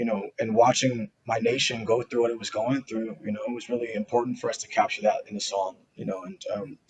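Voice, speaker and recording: Fairly quick delivery in an American accent. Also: man. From US West Coast, Seattle. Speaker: rock musician. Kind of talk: interview. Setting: at home, video interview. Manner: fast.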